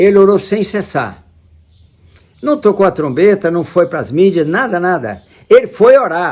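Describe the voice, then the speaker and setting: Long, frequent pauses break up a man's speech, which has a high pitch and lively intonation. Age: 80s+. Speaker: preacher. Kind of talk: sermon.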